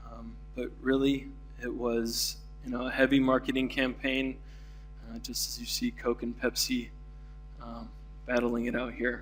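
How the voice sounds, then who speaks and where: Against music in the background and audible room echo, a man with an American accent talks at a moderate pace with long, frequent pauses and big swings in loudness. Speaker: keynote speaker, denim industry. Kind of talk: conference keynote talk. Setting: conference stage with audience. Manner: many fillers, halting.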